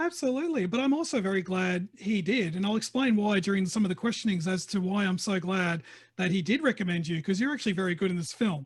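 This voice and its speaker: Talking at a very fast pace with hardly any pauses, a high-pitched man uses lively intonation and an animated tone at very even loudness. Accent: Australian. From Australia. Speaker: film interviewer. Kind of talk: interview. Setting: video call.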